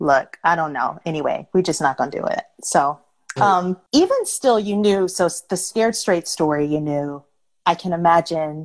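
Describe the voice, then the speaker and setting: A woman with an ordinary speaking voice and an American accent talks at a fairly low pitch, a moderate pace and ordinary pitch variation. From Detroit, US Midwest. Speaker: podcast host. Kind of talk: casual conversation. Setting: Instagram live video chat.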